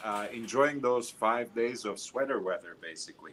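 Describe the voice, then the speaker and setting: A man with a medium pitch talks while noticeable background noise fills the recording. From Middle East. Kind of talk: casual chat.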